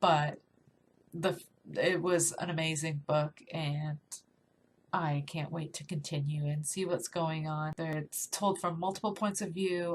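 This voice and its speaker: Fairly low-pitched and somewhat breathy, a woman's voice keeps fairly even intonation. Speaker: book reviewer. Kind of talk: casual talk to camera.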